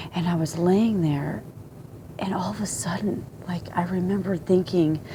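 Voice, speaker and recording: The speech moves at a moderate pace with ordinary pitch variation. There is noticeable background noise. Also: woman, fairly low pitch for a woman. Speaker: video blogger sharing a dream. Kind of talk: personal testimony. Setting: home at night. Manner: hushed, quiet; halting, repetitive.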